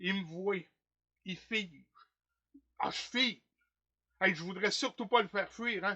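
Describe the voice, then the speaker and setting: This man has a high pitch, an animated tone and ordinary pitch variation, speaking at a fairly slow pace with long, frequent pauses. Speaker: stage actor. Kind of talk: theatre monologue performance. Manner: comic, animated, colloquial.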